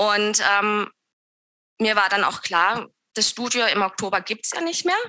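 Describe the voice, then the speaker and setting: This woman speaks very slowly with long, frequent pauses, her fairly high voice bright and sharp in tone. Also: ordinary pitch variation. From southern Germany near Swiss border (Lörrach, Baden). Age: 30s. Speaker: yoga teacher and studio owner. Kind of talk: interview conversation. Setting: video call.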